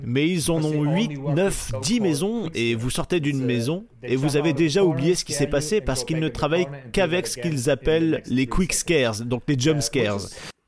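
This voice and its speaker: Over noticeable background noise, a man with a fairly high pitch speaks at a moderate pace with lively intonation and hardly any pauses. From southwest Germany, near Freiburg. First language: German (speaking French). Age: 30s. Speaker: theme park event designer. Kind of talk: interview.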